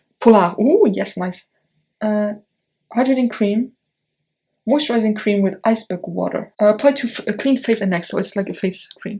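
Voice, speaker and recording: A woman's fairly high, somewhat breathy voice with a dark, mellow tone and a non-native accent, at a moderate pace with long, frequent pauses and ordinary pitch variation. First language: not English. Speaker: beauty YouTuber. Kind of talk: unboxing video. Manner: animated.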